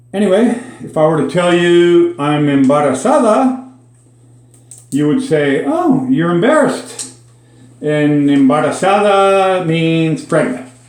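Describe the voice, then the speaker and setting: Amid noticeable background noise and audible room echo, a high-pitched man with an American accent speaks at a fairly slow pace. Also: lively intonation. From Minnesota, suburban Minneapolis. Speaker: Spanish language teacher. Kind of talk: casual language lesson monologue. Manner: conversational with frequent fillers.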